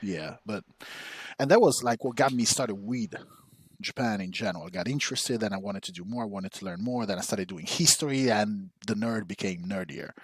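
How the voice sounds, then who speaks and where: A man speaks at a fairly quick pace with a fairly low pitch and ordinary pitch variation, his loudness swinging a lot. The recording is very clean, with a silent background. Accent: Italian. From Italy (Rome). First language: Italian. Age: 40s. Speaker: podcast co-host, historian. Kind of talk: casual chat.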